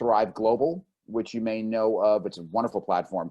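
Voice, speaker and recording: Dark and mellow in tone, a man with a New Jersey accent talks at a moderate pace. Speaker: publicist. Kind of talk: webinar presentation.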